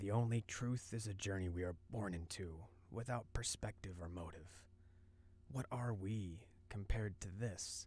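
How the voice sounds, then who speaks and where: Clear background noise sits behind a man using a hoarse, put-on character voice. His pitch is fairly low with ordinary variation, and his pace is moderate. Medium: read story. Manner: calm, serene.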